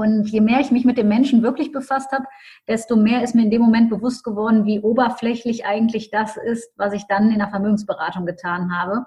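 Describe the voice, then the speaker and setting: The voice is somewhat breathy, with a dark, mellow tone. It moves at a fairly quick pace with fairly even intonation. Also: woman, fairly high pitch for a woman. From Düsseldorf, Germany. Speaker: mental coach and business mentor. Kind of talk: interview.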